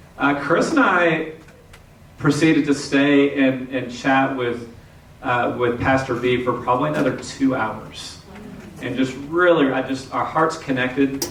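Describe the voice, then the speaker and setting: A man with a Texan accent speaks at medium pitch with ordinary pitch variation. Audible room echo and noticeable background noise surround him. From Texas, Houston. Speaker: pastor. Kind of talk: sermon.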